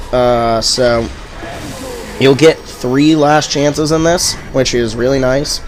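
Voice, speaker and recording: Music plays behind a man speaking at a very slow pace with long, frequent pauses. His medium-pitched voice keeps fairly even intonation. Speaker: gaming tutorial creator. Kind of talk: casual gameplay commentary. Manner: stuttering, hesitant; loud.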